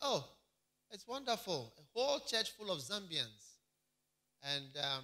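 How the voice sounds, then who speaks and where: A man speaks in a raised, projected voice with very wide pitch swings. His pace is moderate against a quiet background. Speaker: pastor. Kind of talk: sermon. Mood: upbeat report. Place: church. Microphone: handheld.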